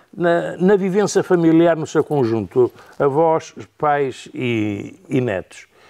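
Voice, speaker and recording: Over a quiet background, a man with a dark, mellow tone and fairly high pitch speaks with lively intonation. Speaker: grandfather; interviewee. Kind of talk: interview testimony. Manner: halting. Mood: calm, reflective. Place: home room.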